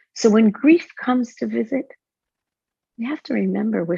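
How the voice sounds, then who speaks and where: A woman speaks at a fairly high pitch with a dark, mellow tone. She is somewhat breathy against a quiet background. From Israel. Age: 60s. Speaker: author and spiritual counselor. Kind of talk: interview conversation.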